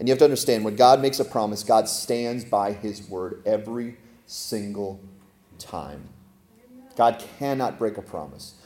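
With a dark, mellow tone at medium pitch, a man speaks with ordinary pitch variation and big swings in loudness. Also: moderate pace. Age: 40s. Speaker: pastor. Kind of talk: sermon.

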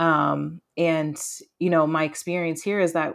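A woman speaks with a very deep, low pitch and flat, monotone intonation. The recording is very clean, with a silent background. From rural Maine. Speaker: community organizer. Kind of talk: interview.

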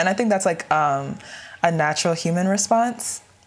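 Against noticeable background noise, a woman with an American accent speaks in a fairly low pitch with ordinary pitch variation. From US, Nigerian American family. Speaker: undergraduate student. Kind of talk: casual discussion.

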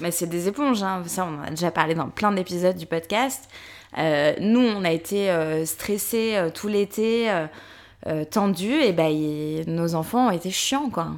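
A woman's fairly low-pitched voice, an ordinary speaking voice, at a fairly slow pace with ordinary pitch variation, in a very clean recording with a silent background. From Paris, France. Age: 30s. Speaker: podcast co-host and press officer. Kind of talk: casual chat.

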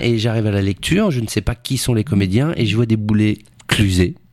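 Speaking at a moderate pace, a man has a medium pitch and an unremarkable speaking voice. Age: 40s. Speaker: actor. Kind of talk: casual chat.

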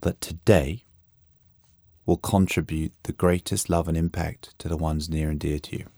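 A dark, mellow voice in a London accent at a fairly slow pace, dry and close with no echo, on a very clean recording with a silent background. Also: man. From England, London. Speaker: coach and author. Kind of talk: interview. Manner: reflective.

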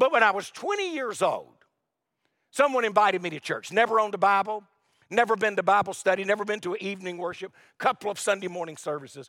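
In an American accent, a man with high pitch speaks at a very fast pace in a raised, projected voice with ordinary pitch variation. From US South, North Carolina. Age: 60s. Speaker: pastor. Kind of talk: sermon. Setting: church.

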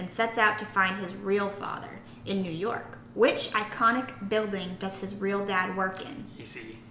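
There is noticeable background noise behind a woman speaking. Her pitch is medium and her pace moderate. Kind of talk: casual chat.

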